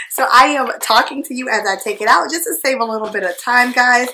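A woman's high voice at a fairly quick pace, with ordinary pitch variation, big swings in loudness and light background noise. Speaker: beauty vlogger. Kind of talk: casual vlog chat. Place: home room.

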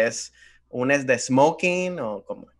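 A man's pitch varies in an ordinary way. The background is quiet. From Venezuela. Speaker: comedian. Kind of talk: casual chat. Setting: video call. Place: home room. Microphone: studio mic.

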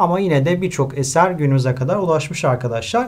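This man talks at a moderate pace with lively intonation. The background is quiet. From Turkey. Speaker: high school literature teacher. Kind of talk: lecture. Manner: hesitant with filler sounds.

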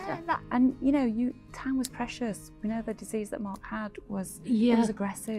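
Clear music plays behind speech that moves at a moderate pace with hardly any pauses and ordinary pitch variation. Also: woman. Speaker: hospice community nurse specialist. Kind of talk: conversational reply. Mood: emotional, reflective. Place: garden.

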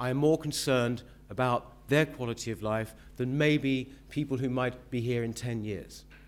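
A man with a London accent at a moderate pace, with fairly even intonation. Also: medium pitch for a man. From southeast London, Woolwich. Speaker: mayoral candidate; candidate. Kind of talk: political debate speech. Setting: stage with audience. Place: hall. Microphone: podium.

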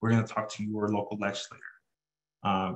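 A man's voice over a quiet background. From Southern California. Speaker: student government president. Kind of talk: presentation. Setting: video call. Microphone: webcam.

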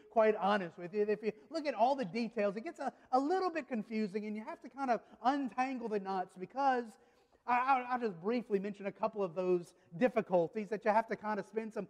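A man's high-pitched voice at a fairly quick pace, with ordinary pitch variation and a quiet background. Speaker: pastor. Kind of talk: sermon. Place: church. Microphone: podium.

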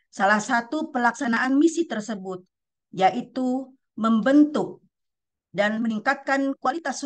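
A woman at a fairly slow pace with ordinary pitch variation, against a quiet background. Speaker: national library official. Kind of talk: formal opening speech. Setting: video call. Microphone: webcam.

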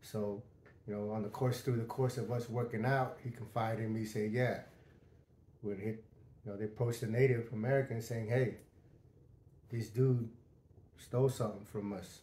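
A man talks at a moderate pace in a monotone, flat voice with long, frequent pauses and audible room echo. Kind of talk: storytelling monologue. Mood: calm, matter-of-fact. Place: home room. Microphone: lapel.

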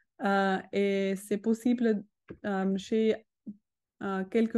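Against a quiet background, a woman with a non-native accent and a dark, mellow tone talks at a very slow pace with fairly even intonation. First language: not French (speaking French). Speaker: educational robotics expert; presenter. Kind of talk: webinar presentation. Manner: halting. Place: home room. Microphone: video call.

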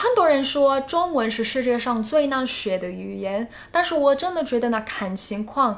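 High-pitched speech from a woman at a moderate pace, with hardly any pauses. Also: lively intonation. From United States. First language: English (speaking Chinese). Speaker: YouTuber. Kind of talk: vlog. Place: home room.

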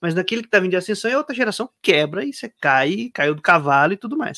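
A man at a very fast pace with very wide pitch swings, over a quiet background. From Brazil, São Paulo and southern Minas Gerais. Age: 30s. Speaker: philosophy academic and content creator; content creator. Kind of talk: casual interview. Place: home room. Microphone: studio mic.

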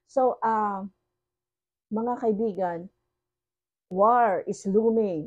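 The tone is dark and mellow, delivered at a very slow pace. The background is quiet. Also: woman. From Philippines. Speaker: online preacher. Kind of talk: sermon. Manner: switches between Tagalog and English. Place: home room. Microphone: phone near.

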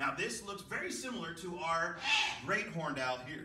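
Over light background noise, a man speaks at a moderate pace with lively intonation. Room echo is audible. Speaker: wildlife educator. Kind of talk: educational presentation. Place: hall. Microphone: camera far.

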